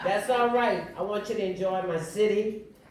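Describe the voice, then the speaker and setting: With an American accent and an animated tone, a woman speaks at a moderate pace amid audible room echo. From New Orleans, US South. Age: 80s+. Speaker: community organizer and guest speaker. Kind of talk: motivational speech. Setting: conference audience.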